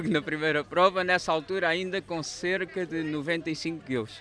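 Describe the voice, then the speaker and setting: The voice shows ordinary pitch variation. The sound is dry with no echo, with light background noise. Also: man. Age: 30s. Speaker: firefighter and amateur runner. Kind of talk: interview. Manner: halting. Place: street. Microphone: handheld.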